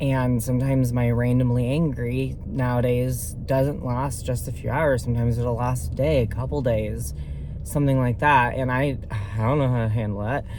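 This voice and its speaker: Male speech at a moderate pace amid noticeable background noise and audible room echo. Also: medium pitch for a man, ordinary pitch variation. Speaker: vlogger. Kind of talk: casual vlog update. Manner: halting, many fillers.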